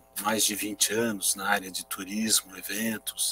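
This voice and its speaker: With music in the background, a man with a fairly low pitch speaks at a very slow pace in a dry, close sound with no echo. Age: 60s. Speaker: aviation industry association executive. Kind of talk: interview.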